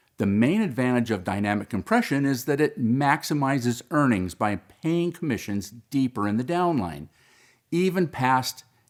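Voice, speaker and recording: A man with an ordinary speaking voice talks at a moderate pace with lively intonation on a very clean recording with a silent background. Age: 60s. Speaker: independent business owner promoting a referral company. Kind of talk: promotional monologue.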